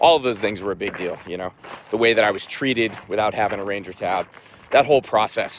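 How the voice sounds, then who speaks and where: Over noticeable background noise, a man with a fairly low voice speaks at a very fast pace. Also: ordinary pitch variation. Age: 30s. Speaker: army veteran, runner. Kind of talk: personal vlog, casual talk to camera. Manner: reflective, candid.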